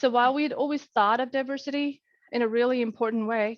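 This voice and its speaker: With a non-native accent, a woman speaks at a fairly quick pace. Her high pitch shows ordinary variation. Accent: foreign. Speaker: corporate diversity lead. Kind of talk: panel discussion.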